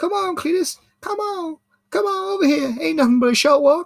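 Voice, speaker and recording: A put-on character voice delivers its lines at a high pitch and a moderate pace. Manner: arguing, nagging.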